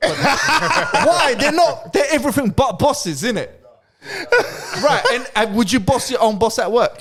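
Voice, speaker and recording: Extremely high in pitch, a man talks with a London accent and lively intonation. His pace is fairly slow. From London, England. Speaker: podcast co-host. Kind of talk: casual chat. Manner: animated.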